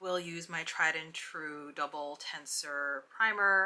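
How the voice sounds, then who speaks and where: A woman speaks at a fairly low pitch with ordinary pitch variation. Background noise is noticeable. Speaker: beauty vlogger. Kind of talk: casual get ready with me tutorial. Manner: soft-spoken.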